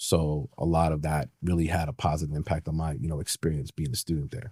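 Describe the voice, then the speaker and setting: In a New York accent, a man with a very deep, low pitch and a dark, mellow, somewhat breathy tone talks at a very fast pace with ordinary pitch variation. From New York City (Manhattan, Brooklyn). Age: 40s. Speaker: retired police detective. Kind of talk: interview conversation.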